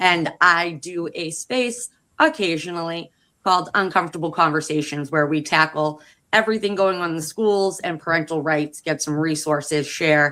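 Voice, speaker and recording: A woman's bright, sharp voice with a Boston accent, fairly low in pitch with ordinary pitch variation, on a very clean recording with a silent background. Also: moderate pace. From Massachusetts, US. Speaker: education advocate, panelist. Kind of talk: casual chat. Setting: live stream.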